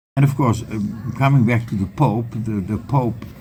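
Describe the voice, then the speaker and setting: Amid noticeable background noise, a man speaks at a moderate pace with a Dutch accent. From Netherlands. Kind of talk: interview. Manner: halting.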